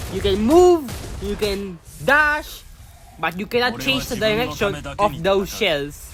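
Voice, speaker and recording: Music plays in the background. The speech is very slow, with long, frequent pauses. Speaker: gaming youtuber. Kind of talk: gameplay tutorial commentary. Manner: halting, repeats words.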